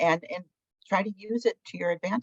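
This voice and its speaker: A normal speaking voice from a woman, medium in pitch with ordinary pitch variation, captured dry and close without echo. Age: 60s. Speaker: alumni panelist. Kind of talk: panel discussion.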